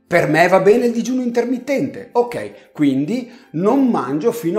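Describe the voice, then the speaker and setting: A man's voice swings very widely in pitch at a fairly slow pace, with audible echo in the room. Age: 50s. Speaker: health channel host. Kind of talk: direct-to-camera video monologue. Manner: conversational.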